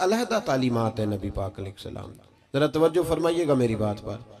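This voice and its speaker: A man's voice swings very widely in pitch. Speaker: Islamic preacher giving a religious sermon. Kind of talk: religious sermon (bayan) delivered to a live gathering. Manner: emotional, preaching.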